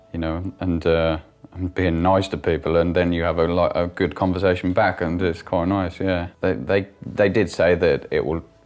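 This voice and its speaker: A man talks in a very deep, low pitch with monotone, flat intonation. Music plays in the background. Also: moderate pace. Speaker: stroke survivor with aphasia, business owner. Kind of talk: interview testimony. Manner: halting, many fillers and restarts; word-finding pauses.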